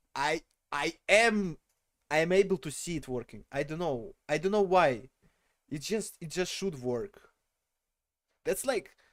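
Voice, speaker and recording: At a fairly slow pace, a man with a non-native accent and high pitch speaks with lively intonation in a very clean recording with a silent background. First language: not English. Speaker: streamer. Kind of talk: casual livestream chat. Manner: animated.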